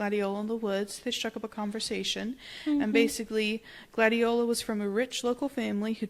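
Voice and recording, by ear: Fairly even intonation while reading aloud in a natural voice.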